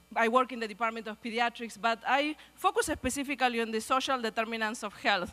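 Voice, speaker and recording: A woman speaks at a fairly quick pace in a Spanish accent. Her tone is bright and sharp. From Argentina. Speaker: pediatrics researcher, guest speaker. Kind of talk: speech at a luncheon. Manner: fast.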